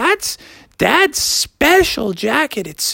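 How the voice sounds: In a put-on character voice with a bright, sharp tone, the speaker drags along at a very slow pace, with vocal fry and big pitch swings. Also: woman, high pitch for a woman.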